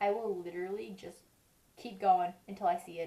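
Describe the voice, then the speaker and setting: Mumbling at a fairly quick pace, a woman speaks with a medium pitch and a dark, mellow tone. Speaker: beauty vlogger. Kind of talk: makeup tutorial. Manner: mumbling, stuttering; casual, chatty.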